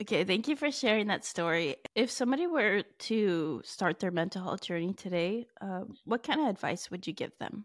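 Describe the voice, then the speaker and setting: A normal speaking voice at a moderate pace, lively in intonation, on a very clean recording with a silent background. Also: woman, medium pitch for a woman. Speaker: podcast host and student. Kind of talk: casual interview.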